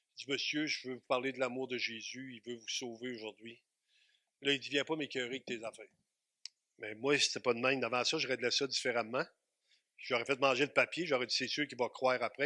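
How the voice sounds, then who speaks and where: A man speaks fairly quickly at a medium pitch, his tone bright and sharp. The sound is dry and close with no echo, the recording very clean over a silent background. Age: 60s. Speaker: pastor. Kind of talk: sermon. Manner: animated.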